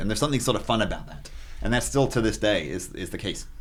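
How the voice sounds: A man's fast-paced speech, fairly bright in tone, with ordinary pitch variation.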